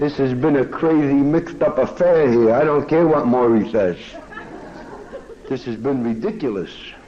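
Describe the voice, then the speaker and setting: A man with an American accent and a fairly high pitch talks at a moderate pace with long, frequent pauses and ordinary pitch variation, over noticeable background noise. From Kansas City, Missouri. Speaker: speaker at a recovery meeting. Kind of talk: recovery meeting talk with humor. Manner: animated, joking.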